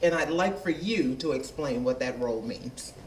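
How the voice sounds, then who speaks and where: Lively and fairly high-pitched, a man speaks amid audible room echo and noticeable background noise. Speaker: business owner and education commissioner. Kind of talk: public question at a town meeting. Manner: loud. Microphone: holds mic far away.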